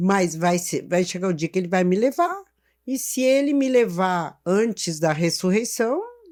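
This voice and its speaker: Using an ordinary speaking voice, a woman talks at a fairly slow pace and medium pitch with lively intonation. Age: 60s. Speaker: church teacher and therapist. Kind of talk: interview testimony.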